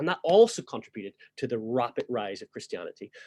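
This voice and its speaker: A man in a Northern Irish accent speaks with vocal fry, the sound dry and close with no echo. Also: very clean recording, silent background. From Northern Ireland. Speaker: church history teacher. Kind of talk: lecture.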